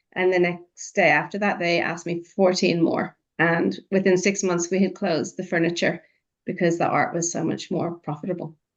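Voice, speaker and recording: An Irish accent at a moderate pace, with monotone, flat intonation. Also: woman, fairly low pitch for a woman. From Ireland. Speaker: artist. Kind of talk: podcast interview.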